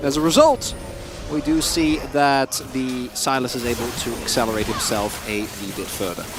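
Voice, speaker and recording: This man talks at a moderate speed. Around him are noticeable background noise and audible room echo. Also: medium pitch for a man, ordinary pitch variation. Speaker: esports commentator. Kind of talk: live commentary.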